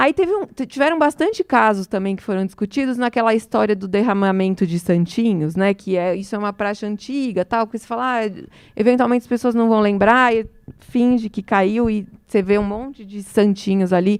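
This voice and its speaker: On a very clean recording with a silent background, a woman with a fairly high pitch speaks at a fairly quick pace with ordinary pitch variation, in a dry, close sound with no echo. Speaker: electoral law speaker. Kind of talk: lecture. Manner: fast.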